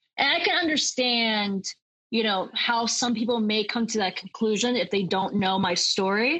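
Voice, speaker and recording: In an American accent, a woman talks at a moderate pace in a normal speaking voice, her pitch fairly high, her intonation lively and her loudness very even. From Kansas, US. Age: 20s. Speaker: local political candidate. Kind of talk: interview.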